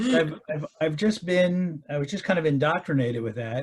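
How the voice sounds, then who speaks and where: A man's voice, fairly high in pitch and somewhat breathy, carries the clip. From Baltimore, US. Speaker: retired parishioner. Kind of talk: interview. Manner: hesitant, many fillers.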